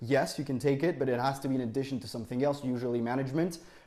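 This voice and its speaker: With a French accent, a man speaks in a dark, mellow tone and fairly even intonation. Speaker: university student. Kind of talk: interview. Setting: podcast.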